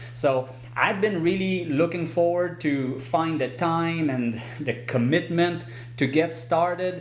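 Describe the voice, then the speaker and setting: A man speaks at a fairly slow pace with ordinary pitch variation. Audible room echo and noticeable background noise fill the recording. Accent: French. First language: French. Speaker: horse trainer. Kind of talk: casual channel update to viewers.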